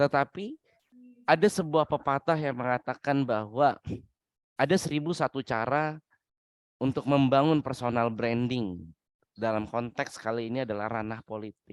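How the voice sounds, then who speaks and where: A man speaks at a medium pitch and a moderate pace with ordinary pitch variation. The sound is dry and close, with no echo. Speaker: webinar speaker, doctoral student. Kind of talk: webinar lecture.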